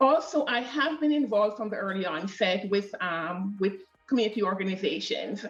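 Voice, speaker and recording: A woman's medium-pitched voice with lively intonation at a moderate pace, music in the background. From Jamaica. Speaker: immigrant settlement worker. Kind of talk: podcast interview.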